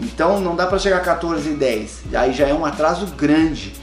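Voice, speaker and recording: Music plays in the background as a man talks. His pitch is fairly high and his pace moderate. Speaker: voice actor and dubbing director. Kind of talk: casual talk to camera, advice to aspiring voice actors.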